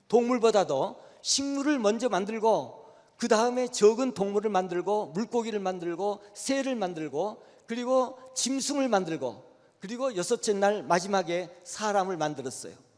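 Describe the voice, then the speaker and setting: With lively intonation and a high pitch, a man talks at a fairly slow pace over noticeable background noise. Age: 80s+. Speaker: retired church elder giving a lecture. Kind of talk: lecture. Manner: halting.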